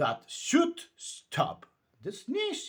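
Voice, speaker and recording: This is a man doing a put-on character voice. His pitch is extremely high. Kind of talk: bedtime story. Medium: read story. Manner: brisk, slightly pompous.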